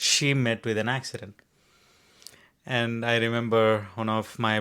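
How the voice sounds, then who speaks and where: A medium-pitched male voice comes through in a very clean recording with a silent background. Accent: Indian. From India. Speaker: podcast co-host. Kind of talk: casual chat.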